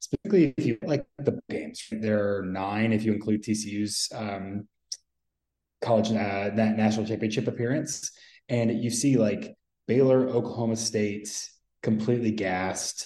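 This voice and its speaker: A man talks in a plain, everyday voice, pitched in the middle range. His speed is moderate and his intonation fairly level. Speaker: college football analyst. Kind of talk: roundtable discussion.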